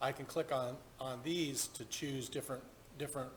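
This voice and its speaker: This is a man with a fairly high pitch. He has an unremarkable speaking voice. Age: 50s. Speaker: golf simulator streamer. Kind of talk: live gameplay tutorial. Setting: home golf simulator booth.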